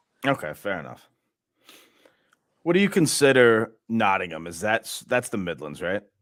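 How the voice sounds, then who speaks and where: A man with a fairly low pitch speaks in an animated tone at a moderate pace, his pitch swinging very widely, with long, frequent pauses. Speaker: fan channel host, poker player. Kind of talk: watchalong commentary and casual chat. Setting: livestream.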